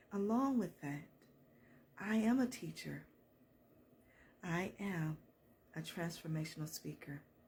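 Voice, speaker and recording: A woman at fairly low pitch with an American accent, somewhat breathy, at a fairly slow pace, with lively intonation. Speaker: counselor and motivational speaker. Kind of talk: faith-based motivational talk. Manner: animated.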